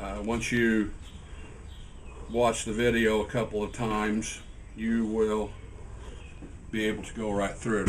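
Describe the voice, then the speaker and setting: Moderate-paced speech with noticeable background noise. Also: man. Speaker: hive kit maker demonstrating assembly. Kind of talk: tutorial. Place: workshop. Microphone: camera far.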